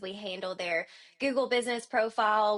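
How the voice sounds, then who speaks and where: A woman speaks in a strong Southern US accent at a fairly high pitch. She keeps a moderate pace against a quiet background. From US South. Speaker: marketing agency owner. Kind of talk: podcast interview. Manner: animated.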